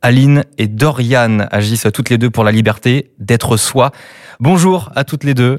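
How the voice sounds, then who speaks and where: A man with a normal speaking voice speaks at a fairly slow pace with ordinary pitch variation. The sound is dry and close with no echo, a very clean recording over a silent background. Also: medium pitch for a man. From Brittany. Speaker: podcast host. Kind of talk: interview.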